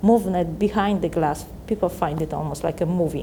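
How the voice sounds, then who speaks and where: A woman's fairly low voice carries fairly even intonation. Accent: Polish. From Poland. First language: Polish. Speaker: visual artist. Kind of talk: interview monologue about own artwork. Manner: halting, many fillers and restarts.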